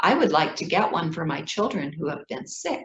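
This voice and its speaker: Moderate tempo, slight breathiness, a woman's voice. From Ethiopia. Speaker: children's book author. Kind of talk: reading aloud.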